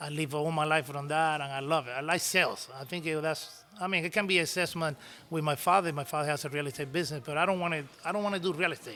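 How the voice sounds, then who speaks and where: Speaking at a very fast pace with a Cuban accent, a man holds a fairly high pitch with fairly even intonation. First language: Spanish. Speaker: cigar maker and business owner. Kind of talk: interview storytelling. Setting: in-person sit-down interview.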